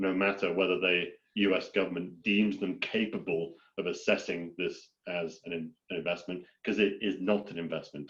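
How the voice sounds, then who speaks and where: A man speaks with a British accent at a fairly low pitch. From Britain. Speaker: farmland investor. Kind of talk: webinar presentation.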